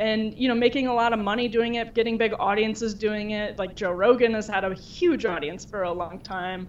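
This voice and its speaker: A woman with an American accent in a plain, everyday voice, fairly high in pitch, at a fairly quick pace with hardly any pauses. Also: ordinary pitch variation. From Wisconsin. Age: young. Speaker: culture editor. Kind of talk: interview.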